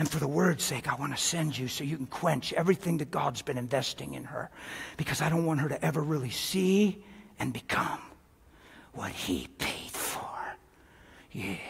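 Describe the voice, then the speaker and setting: This is a put-on character voice at a moderate pace. Long pauses come often. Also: man, fairly high pitch for a man. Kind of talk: live sermon to an audience.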